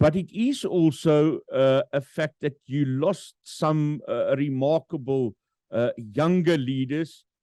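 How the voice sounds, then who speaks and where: A man with a South African accent speaks at a very slow pace in a dark, mellow tone with ordinary pitch variation. The sound is dry and close, with no echo. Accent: Afrikaans-accented English. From South Africa, Free State. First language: Afrikaans. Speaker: podcast host. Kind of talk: interview. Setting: virtual studio. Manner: halting, many fillers.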